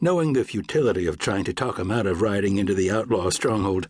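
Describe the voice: This plain reading aloud carries lively intonation.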